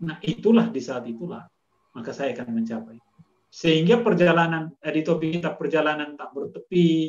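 With a normal speaking voice, a man talks at a moderate pace, his fairly high pitch carried by lively intonation. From Indonesia, Kupang (East Nusa Tenggara). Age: 40s. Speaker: school principal and educator. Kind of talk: casual chat. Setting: video call.

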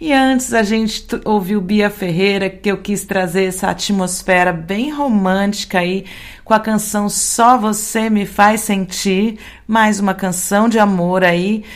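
A woman speaks at a very slow pace. Her medium-pitched voice keeps a fairly even intonation. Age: 40s. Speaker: radio podcast host. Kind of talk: radio show presenting.

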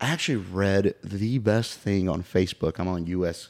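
In a very clean recording with a silent background, a man with an American accent speaks at a very deep, low pitch. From Oklahoma City, US. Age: 30s. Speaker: soccer goalkeeping coach. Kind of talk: casual chat.

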